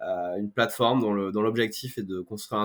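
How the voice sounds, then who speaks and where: A man with a fairly low pitch speaks in a monotone, flat intonation. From France, Corrèze (Brive-la-Gaillarde). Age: 30s. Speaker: startup founder. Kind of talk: podcast interview.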